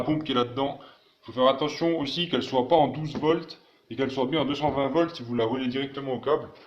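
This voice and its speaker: The intonation is fairly even, with noticeable background noise behind it. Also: man. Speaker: DIY tech YouTuber. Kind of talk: tutorial. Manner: fast; hesitant, many fillers.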